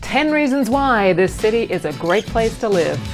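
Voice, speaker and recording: With an Australian accent, a woman speaks at a fairly high pitch with very wide pitch swings over music in the background. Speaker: voice actor. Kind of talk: casual talk to camera. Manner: upbeat, humorous.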